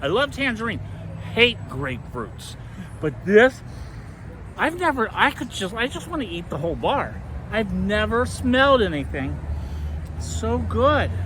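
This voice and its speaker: Noticeable noise runs underneath the speech. The delivery is fairly slow, broken by long, frequent pauses. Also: man. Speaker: travel vlogger. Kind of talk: casual interview at a market stall. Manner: loud; animated.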